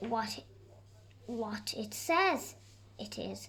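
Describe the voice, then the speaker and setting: Over clear background noise, a woman performs a put-on character voice. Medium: read story. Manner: cheerful.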